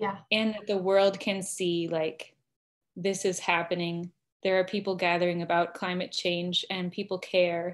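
A woman talks with an American accent at a fairly slow pace. Her intonation is monotone and flat. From Arizona, US. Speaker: seminary student; interview guest. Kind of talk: online interview. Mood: earnest, reflective. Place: home room. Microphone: video call.

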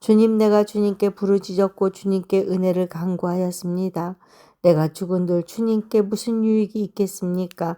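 Dry and close with no echo, a woman's dark, mellow voice sits at medium pitch and moves at a moderate pace in a flat monotone. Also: very clean recording, silent background. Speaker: Bible reader. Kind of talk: reading aloud.

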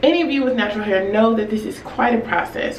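A woman in a room with audible echo and light background noise. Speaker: hair care vlogger. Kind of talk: casual vlog chat. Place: home room.

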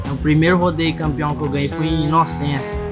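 A man with a fairly high pitch at a moderate pace, clear music in the background. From Minas Gerais, Brazil. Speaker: bull rider. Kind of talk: interview answer. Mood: relaxed, smiling storytelling. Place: open country.

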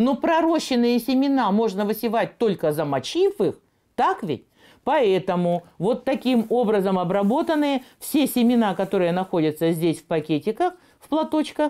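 A woman's fairly high voice with a dark, mellow tone, very wide pitch swings and big swings in loudness, at a moderate pace against a quiet background. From Siberia, Russia. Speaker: gardening TV presenter; TV presenter. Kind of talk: tutorial. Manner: animated. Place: kitchen. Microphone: lapel.

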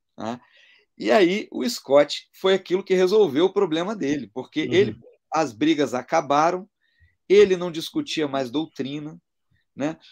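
Lively intonation from a man with fairly high pitch, long, frequent pauses, and a quiet background. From Brazil. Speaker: interview guest. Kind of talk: conversion testimony. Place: home room. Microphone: video call.

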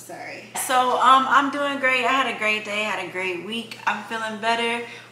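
At a moderate pace and with ordinary pitch variation, a woman talks amid audible room echo and light background noise. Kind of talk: casual vlog chat. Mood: upbeat and chatty. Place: kitchen. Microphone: camera far.

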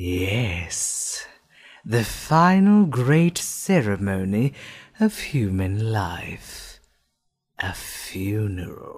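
Very slowly, the speaker delivers a put-on character voice in a low pitch. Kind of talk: voice acting audition. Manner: calm, polite.

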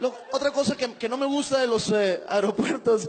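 The voice has an animated tone and lively intonation. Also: man. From Mexico, Monterrey. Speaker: stand-up comedian. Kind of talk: stand-up. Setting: stage with audience. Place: stage. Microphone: handheld.

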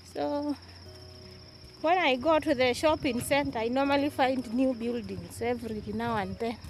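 A fairly slow pace, dry sound with no echo, and music in the background. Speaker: vlogger touring village land. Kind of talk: casual vlog chat. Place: open country. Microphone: phone near.

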